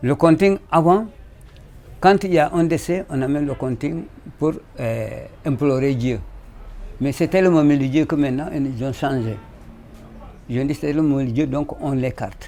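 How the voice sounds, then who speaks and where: Speech at a moderate pace with ordinary pitch variation and long, frequent pauses, over music in the background. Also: man. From Senegal, Casamance (Kassa region). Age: 70s. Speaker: traditional musician. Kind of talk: interview testimony. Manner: halting, with repetitions.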